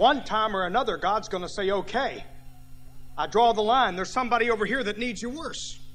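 Music runs behind a man whose voice sits high in pitch. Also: ordinary pitch variation, fairly quick pace. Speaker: pastor. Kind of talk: sermon. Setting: church. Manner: fervent, rousing pulpit delivery with ecstatic hallelujahs.

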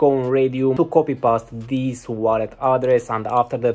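A monotone, flat delivery at a fairly quick pace. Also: man. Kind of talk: commentary. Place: home room. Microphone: webcam.

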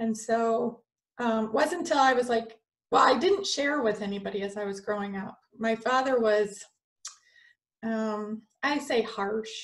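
Against a quiet background, a woman with an American accent speaks at a fairly slow pace. Her pitch varies in an ordinary way, and she leaves long, frequent pauses. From US Midwest, Michigan. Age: 40s. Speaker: spiritual channeler and energy healer. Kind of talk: casual interview chat. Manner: giggly. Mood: calm, personal storytelling. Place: home room. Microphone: video call.

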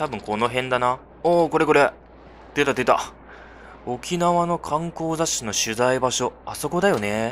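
Pitched fairly high, a man talks at a fairly slow pace. His pitch variation is ordinary. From China. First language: Chinese (speaking Japanese). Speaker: gaming YouTuber. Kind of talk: game commentary with dialogue read aloud. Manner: animated, frequent laughter.

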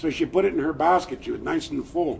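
With an American accent, a man talks at a fairly quick pace over light background noise. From US Pacific Northwest, Lummi Nation; Pacific Northwest. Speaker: storyteller. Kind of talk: traditional storytelling. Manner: animated. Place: street. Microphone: camera far.

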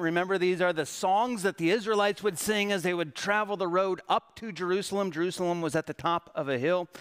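The man talks at a fairly quick pace and a high pitch. His pitch varies in an ordinary way against a quiet background. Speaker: pastor or worship leader. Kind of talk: sermon. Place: church. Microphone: podium.

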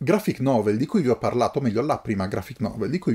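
A somewhat breathy voice with a dark, mellow tone, in a very clean recording with a silent background. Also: man. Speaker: book YouTuber. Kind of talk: casual unboxing monologue. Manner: halting.

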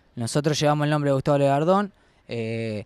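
A man's ordinary speaking voice with ordinary pitch variation, in a dry, close sound with no echo against a quiet background. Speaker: student activist. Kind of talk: campaign statement.

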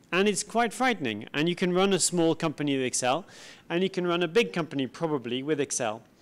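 Fairly quick speech with very wide pitch swings. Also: man. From southern France. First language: French. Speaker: IT executive; conference speaker. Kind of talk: conference talk. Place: hall. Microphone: handheld.

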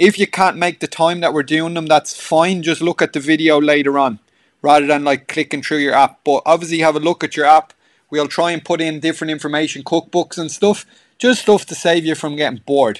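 The recording is dry and close with no echo, carrying a fairly high-pitched man's voice with an Irish accent. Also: fairly quick pace. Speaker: gym trainer. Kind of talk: pre-class livestream chat and announcements. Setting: at home on a two-way call. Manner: chatty, filler-heavy, upbeat.

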